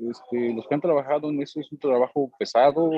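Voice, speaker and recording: Speaking with a Mexican accent, a man keeps a moderate pace. His voice is fairly high-pitched. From Mexico. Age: 30s. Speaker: immigrant worker. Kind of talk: interview. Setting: at work.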